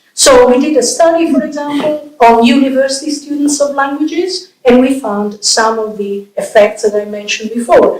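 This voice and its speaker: A woman's high voice with an Italian accent and ordinary pitch variation, at a moderate pace over music in the background. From Italy. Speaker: professor and bilingualism researcher. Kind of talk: public lecture.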